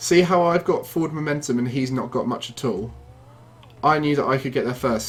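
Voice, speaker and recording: A man with a British accent, medium pitch, ordinary pitch variation, and a fairly quick pace. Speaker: gaming video creator. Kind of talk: gameplay tutorial commentary. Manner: fast.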